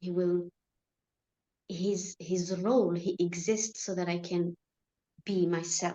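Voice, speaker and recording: Speaking at a very slow pace with an Arabic accent, a woman pauses long and often, her intonation monotone and flat. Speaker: spiritual study group member. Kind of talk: casual spiritual discussion. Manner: halting.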